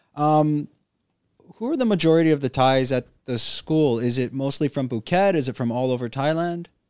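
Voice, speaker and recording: A normal speaking voice with a Canadian accent, moderate pace and ordinary pitch variation, in a dry, close sound with no echo. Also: man, fairly high pitch for a man. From Canada. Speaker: podcast host. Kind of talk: casual interview. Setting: studio.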